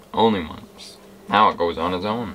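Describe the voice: A man's low voice with a bright, sharp tone, moderate pace, ordinary pitch variation and audible room echo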